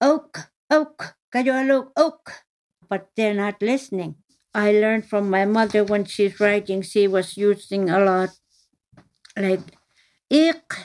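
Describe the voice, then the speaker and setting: With an Inuit Canadian accent, a woman speaks very slowly at a medium pitch, with long, frequent pauses. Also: ordinary pitch variation. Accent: Inuktitut-accented English. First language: Inuktitut. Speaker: daughter of the author. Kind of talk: interview.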